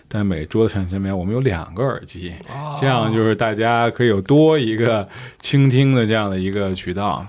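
A plain, everyday voice from a man, fairly low in pitch, with ordinary pitch variation and a moderate pace. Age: 30s. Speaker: curator. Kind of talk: casual chat.

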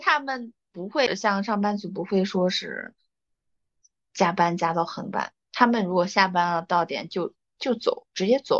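A woman with an unremarkable speaking voice talks at a fairly slow pace, her medium pitch showing ordinary variation. The sound is dry and close with no echo, over a quiet background. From China. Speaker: podcast co-host. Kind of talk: casual chat. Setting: studio.

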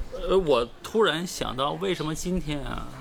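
A man with a Northeastern Chinese accent, fairly high in pitch, lively in intonation and fairly slow in pace, against noticeable background noise. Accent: Northeastern Mandarin. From Northeast China. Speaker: stand-up comedian. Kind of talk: casual chat. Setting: in Hangzhou near West Lake.

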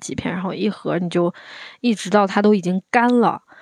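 A woman with an ordinary speaking voice talks at a fairly quick pace in a medium pitch. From Anhui, China. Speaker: podcast guest, visiting friend. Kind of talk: casual chat.

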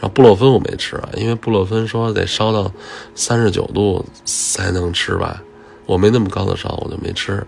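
The speech moves at a moderate pace with fairly even intonation. Noticeable background noise is present. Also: man, fairly low pitch for a man. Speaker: podcast host. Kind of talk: casual voice diary monologue. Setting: at workplace.

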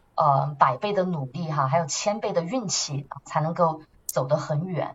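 A woman with a fairly low pitch and lively intonation, at a fairly slow pace, over noticeable background noise. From Chongqing, southwest China. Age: 30s. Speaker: marketing manager and nonprofit co-founder. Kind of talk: interview conversation. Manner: animated; hesitant fillers.

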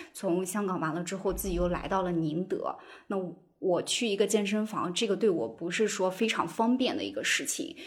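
Her intonation is lively. A woman talks at a moderate pace and medium pitch. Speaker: podcast host. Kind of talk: casual chat. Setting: video call.

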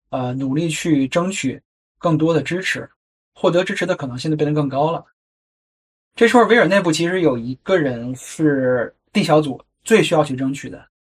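A man with an ordinary speaking voice. His pitch is fairly high, with ordinary pitch variation. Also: moderate pace. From China. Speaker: podcast host. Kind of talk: solo narrative podcast.

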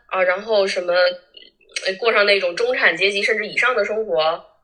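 A woman speaks at a fairly quick pace. She has a Northeastern Chinese accent. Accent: Northeastern Mandarin (Changchun). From Northeast China, Changchun. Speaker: former social media influencer. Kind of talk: casual chat. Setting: remote call.

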